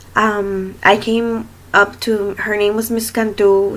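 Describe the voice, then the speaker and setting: A woman speaks with a Spanish accent at a medium pitch. Her intonation is monotone and flat. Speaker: student teacher. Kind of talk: self-introduction video. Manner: hesitant, many fillers.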